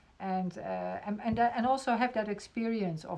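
A woman speaks with a Dutch accent at a moderate pace. Her pitch variation is ordinary. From Netherlands. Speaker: podcast host. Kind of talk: interview. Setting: video call.

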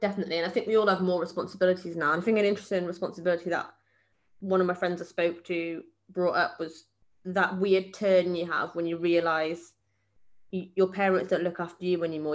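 A woman's fairly low, monotone, flat voice at a very fast pace. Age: 20s. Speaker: podcast co-host. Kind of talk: casual chat.

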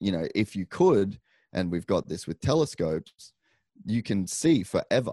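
With an Australian accent, a man speaks at a moderate pace in a fairly low pitch and a dark, mellow tone, using lively intonation, with a dry, close sound, no echo and a quiet background. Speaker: podcaster and motocross racer. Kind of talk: casual interview chat. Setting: remote call.

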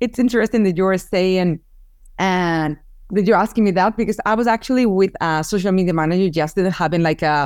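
Speaking at a fairly quick pace with a Spanish accent, a woman uses a medium pitch and ordinary pitch variation on a very clean recording with a silent background. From Spain, Barcelona. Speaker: photographer and business owner. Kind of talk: interview.

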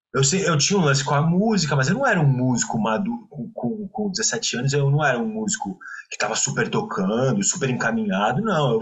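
A man's fairly high voice with very wide pitch swings, fairly quick pacing and hardly any pauses, against noticeable background noise. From Brazil, Santos (São Paulo coast). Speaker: musician and musicologist. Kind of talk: casual interview chat.

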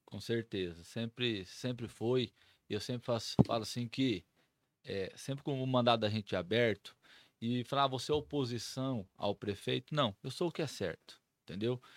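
A man speaks in an ordinary speaking voice at a moderate pace, with ordinary pitch variation. The sound is dry and close with no echo, and the recording is very clean over a silent background. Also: medium pitch for a man. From Brazil, Mato Grosso do Sul (São Gabriel do Oeste). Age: 40s. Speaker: city councillor. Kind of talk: casual interview.

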